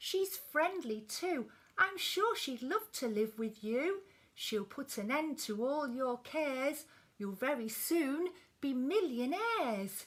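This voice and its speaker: Using a put-on character voice, a woman speaks at a fairly slow pace and a high pitch. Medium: read story.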